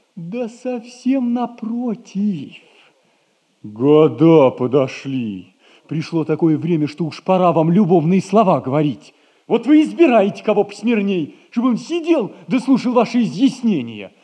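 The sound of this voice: A man does a put-on character voice, high-pitched with big pitch swings. His tone is dark and mellow with a slightly husky edge, and the pace is fairly slow.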